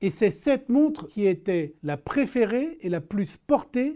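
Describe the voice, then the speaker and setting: In a very clean recording with a silent background, a man with a dark, mellow tone swings his pitch very widely. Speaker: watch video host. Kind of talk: casual tutorial. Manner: animated.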